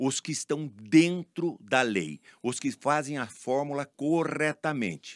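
On a very clean recording with a silent background, a man talks in a normal speaking voice at a medium pitch. His pace is fairly slow, his intonation lively, and the sound is dry and close with no echo. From São Paulo state, Brazil (Leme/Araras area). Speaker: pharmacist and business owner. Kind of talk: interview.

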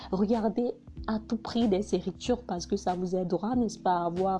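A woman's dark, mellow, somewhat breathy voice with a Hausa accent, at a fairly slow pace. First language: Hausa (speaking French). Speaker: vlogger. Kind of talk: personal narration.

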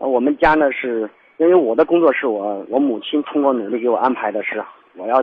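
A man's voice at a medium pitch. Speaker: caller. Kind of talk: call-in advice. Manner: halting.

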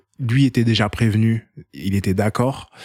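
The recording is very clean, with a silent background, and a man's medium-pitched voice sounds dry and close, with no echo. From France, Seine-Saint-Denis. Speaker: documentary filmmaker. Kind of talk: casual interview. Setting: at the host's home. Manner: hesitant, repeats words.

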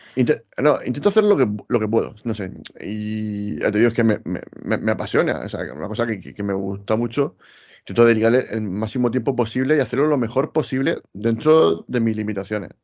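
An unremarkable speaking voice with ordinary pitch variation, in a very clean recording with a silent background. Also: man, medium pitch for a man. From Spain, Murcia. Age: 40s. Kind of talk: casual chat.

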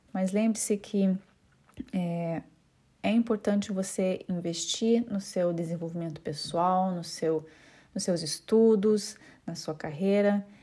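A woman with a Curitiba accent speaks very slowly, leaving long, frequent pauses, in a dark, mellow, somewhat breathy voice of medium pitch. Her intonation is fairly even, and the recording is very clean with a silent background. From Brazil, Curitiba. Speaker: home staging consultant and podcast host. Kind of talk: solo informational podcast monologue. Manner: hesitant, with frequent fillers.

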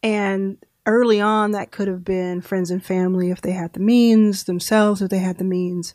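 In an American accent, a woman with a medium-pitched, dark and mellow voice speaks in a flat monotone on a very clean recording with a silent background. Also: moderate pace. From Texas, Dallas. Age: 30s. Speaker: venture capitalist. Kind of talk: interview.

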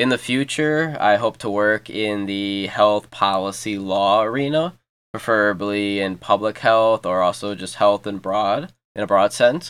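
A man with an American accent and a normal speaking voice, fairly low in pitch, at a fairly slow pace with ordinary pitch variation, on a very clean recording with a silent background. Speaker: podcast host, college student. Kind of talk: casual podcast intro.

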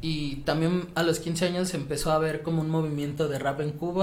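A man with a fairly high pitch speaks at a fairly slow pace. His delivery is monotone and flat, and the room echo is audible. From Mexico City. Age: 20s. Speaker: podcast guest, former student. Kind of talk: casual chat.

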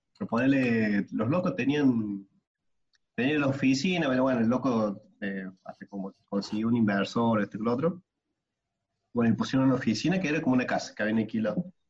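A man talks at a fairly quick pace in a medium pitch with ordinary pitch variation. He has a plain, everyday voice. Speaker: podcast co-host. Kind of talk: casual chat.

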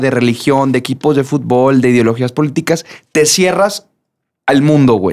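The background is silent on this very clean recording of a man talking. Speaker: podcast co-host and singer. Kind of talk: casual chat.

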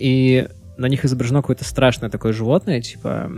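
The speech comes at a very fast pace with music in the background. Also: man. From Russia, Pskov. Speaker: podcast co-host. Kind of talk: casual chat. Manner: theatrical.

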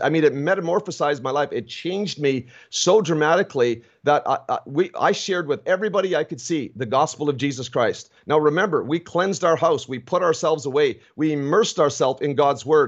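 In an ordinary speaking voice, a man talks at a fairly quick pace and fairly high pitch, with ordinary pitch variation and hardly any pauses. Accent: Canadian. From Ontario, Canada. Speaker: pastor. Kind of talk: testimony. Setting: video call.

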